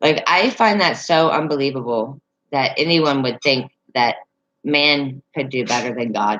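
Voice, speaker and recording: The speaker has a Southern accent. The pace is fairly slow. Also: woman, very deep, low pitch for a woman, ordinary pitch variation. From Northern Virginia, near West Virginia line. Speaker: livestreamer. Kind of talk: casual chat. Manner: halting, many fillers.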